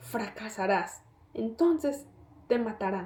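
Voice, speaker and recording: A woman whispers in a put-on character voice. It comes out hoarse, at a fairly slow pace. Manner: whispering, hateful, cold.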